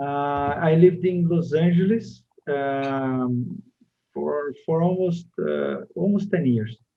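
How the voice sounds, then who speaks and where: A man with a Brazilian accent speaks at a very slow pace. His pitch is fairly high, with ordinary variation. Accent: Brazilian, non-native English. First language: Portuguese. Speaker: TV and media producer. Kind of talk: interview. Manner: halting, many fillers.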